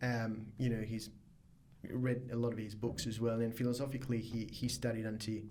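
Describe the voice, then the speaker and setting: There's audible room echo as a man speaks at a moderate pace with fairly even intonation. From Mauritius. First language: Mauritian Creole or French. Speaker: biotech startup founder. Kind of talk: podcast interview. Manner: hesitant, many fillers.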